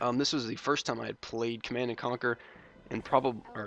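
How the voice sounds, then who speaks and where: A man's fairly quick, monotone delivery with flat intonation and music in the background. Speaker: gaming YouTuber. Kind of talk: gameplay commentary. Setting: home recording at night. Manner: quiet, held-down voice; hesitant, many ums and uhs.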